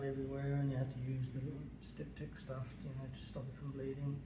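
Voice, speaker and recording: Noticeable background noise sits behind a man with a fairly high pitch. His tone is relaxed and his intonation is monotone and flat. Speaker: dog owner. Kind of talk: casual how-to demonstration. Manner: hesitant, relaxed, with many fillers.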